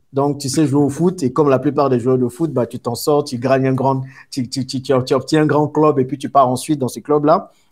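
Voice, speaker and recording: A man speaks in a fairly high pitch. His pitch variation is ordinary. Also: very clean recording, silent background. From Ivory Coast, Abidjan. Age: 30s. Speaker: entrepreneur. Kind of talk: interview, life story. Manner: hesitant fillers.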